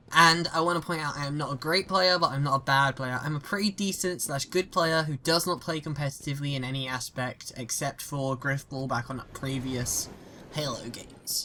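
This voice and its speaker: The speech comes in a British accent at a moderate pace. There are hardly any pauses. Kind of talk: gaming opinion commentary.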